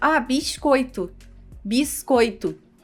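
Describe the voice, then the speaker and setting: A woman puts on a high-pitched, hissing character voice with ordinary pitch variation. Faint music plays in the background. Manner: hissed S sound, polished style.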